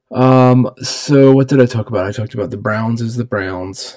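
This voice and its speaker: A man with an unremarkable speaking voice talks at a moderate pace, his pitch medium and his intonation fairly even. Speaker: podcaster. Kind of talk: casual solo podcast monologue. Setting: home office, recording alone. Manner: rambling, filler words, casual.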